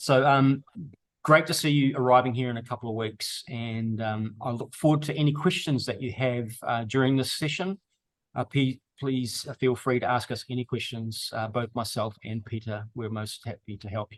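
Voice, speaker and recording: A man's medium-pitched voice in a New Zealand accent, with big swings in loudness. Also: ordinary pitch variation, moderate pace. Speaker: tour operator. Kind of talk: video call briefing. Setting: video call.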